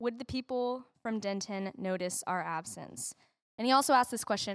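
Recorded very cleanly against a silent background with a dry, close sound and no echo, a woman with an unremarkable speaking voice speaks at a moderate pace, her pitch fairly high with ordinary variation. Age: 20s. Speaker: church member. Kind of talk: talk on giving. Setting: church.

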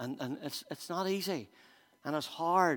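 A man speaks with a Northern Irish accent. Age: 50s. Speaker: pastor. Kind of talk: sermon. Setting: church.

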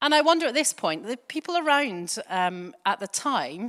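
A woman's voice makes very wide pitch swings in a very clean recording with a silent background. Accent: Glaswegian. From Scotland. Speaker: church preacher. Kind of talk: sermon. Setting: church.

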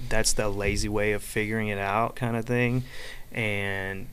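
Heard with audible room echo, a man with an American accent talks in a fairly low, monotone, flat voice. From Florida, US South. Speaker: lawn care franchise owner. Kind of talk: casual chat. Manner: halting, repeats words.

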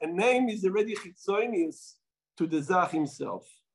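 A man with an Israeli accent, high in pitch and lively in intonation. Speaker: rabbi. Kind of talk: talk to an audience, storytelling. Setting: Melbourne, Australia. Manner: halting, with fillers.

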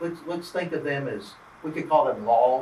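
A fairly high-pitched man with a Southern US accent at a moderate pace, amid noticeable background noise. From US South, southwest Georgia (Albany). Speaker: church workshop leader. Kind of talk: interactive workshop teaching. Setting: conference breakout room with audience.

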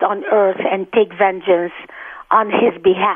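A woman is speaking. She talks with an Arabic accent. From Egypt (Cairo) and Gaza. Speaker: author. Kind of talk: interview.

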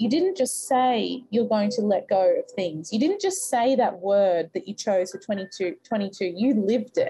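A woman's fairly high, somewhat breathy voice has a dark, mellow, warm tone, lively intonation and a fairly slow pace. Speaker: podcast host and mindset coach. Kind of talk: guided meditation, then goal-setting coaching call. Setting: live call with an online audience. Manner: slow, soothing, calm and rhythmic, counting breaths; warm, encouraging, motivational.

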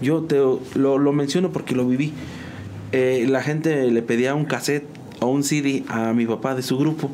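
A man speaks in a fairly high voice at a moderate pace, with very even loudness and fairly even intonation. Noticeable background noise and audible room echo fill the recording. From Mexico, San Juan del Río, Querétaro. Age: 30s. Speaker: musician and graphic designer. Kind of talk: casual interview.

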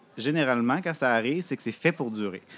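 In a plain, everyday voice, a man of medium pitch speaks at a fairly quick pace with lively intonation. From Quebec City. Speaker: podcaster and knitter. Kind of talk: casual interview. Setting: live at a festival.

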